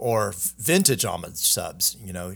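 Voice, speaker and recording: An ordinary speaking voice from a man with an American accent at a fairly slow pace, in a very clean recording with a silent background. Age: 40s. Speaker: watch brand founder. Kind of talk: casual chat.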